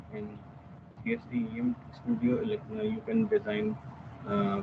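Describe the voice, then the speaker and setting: A man speaks with fairly even intonation over noticeable background noise. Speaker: software application engineer giving a tutorial. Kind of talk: technical webinar tutorial. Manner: hesitant, many fillers; quiet. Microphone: video call.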